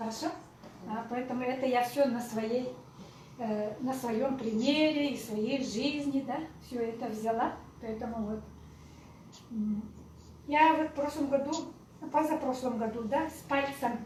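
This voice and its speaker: A woman with a high pitch talks at a fairly slow pace with fairly even intonation and long, frequent pauses, and audible room echo surrounds her voice. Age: 60s. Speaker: network marketing speaker, former pediatrician. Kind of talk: live presentation to audience. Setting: in-person meeting with audience.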